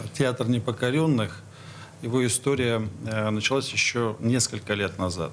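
Noticeable background noise accompanies a man of medium pitch speaking at a fairly slow pace with ordinary pitch variation. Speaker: stage director and acting teacher. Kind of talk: radio interview. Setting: studio. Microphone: too far from the mic at first.

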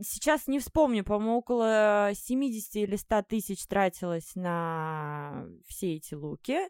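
In a very clean recording with a silent background, a woman speaks at a very slow pace with a medium pitch. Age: 30s. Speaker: coffee shop owner, former makeover show participant. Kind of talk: casual interview.

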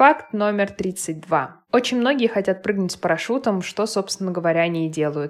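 An ordinary speaking voice from a woman at medium pitch, fairly quick in pace. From Moscow, Russia. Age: 30s. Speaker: podcaster and mother. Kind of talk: personal monologue.

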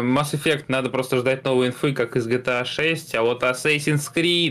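A man's fairly slow, nearly pause-free delivery, very even in loudness and fairly even in intonation, over noticeable background noise. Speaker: gaming news podcast co-host. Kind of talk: casual chat.

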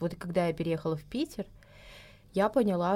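Lively in intonation and dark and mellow in tone, a woman talks at a moderate pace in a medium pitch on a very clean recording with a silent background. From southern Russia, Krasnodar region. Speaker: emigrant, guest. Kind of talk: casual chat. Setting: studio.

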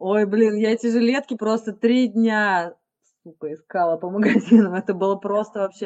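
Speaking at a moderate pace, a woman with an unremarkable speaking voice keeps a fairly high pitch and fairly even intonation. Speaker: podcast co-host. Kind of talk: casual interview chat.

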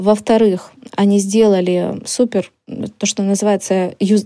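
Moving at a moderate pace, a woman speaks at medium pitch with fairly even intonation and a dark, mellow tone. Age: 30s. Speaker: marketing podcast host. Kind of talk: educational podcast lesson.

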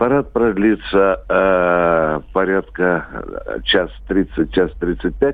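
A man speaks at a very slow pace. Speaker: military columnist. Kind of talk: expert commentary. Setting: phone call.

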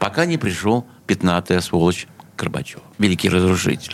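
A man with a plain, everyday voice speaks at a moderate pace. His intonation is lively. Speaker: sound engineer and music producer. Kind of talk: interview reminiscences. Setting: radio studio.

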